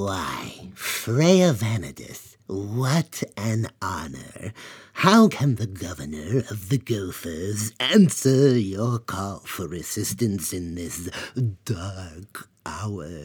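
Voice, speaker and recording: Using a put-on character voice, a man speaks at a very slow pace and a fairly low pitch in a very clean recording with a silent background. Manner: courteous, formal.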